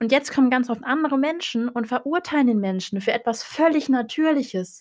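Speaking at a moderate pace, a woman uses a high pitch, ordinary pitch variation and an animated tone. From northern Germany, Hannover. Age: 20s. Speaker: podcast host, psychology student. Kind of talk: casual monologue.

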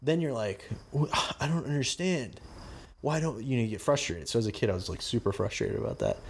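Very fast, somewhat breathy speech with lively intonation. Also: man, medium pitch for a man. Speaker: podcast host. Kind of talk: casual chat.

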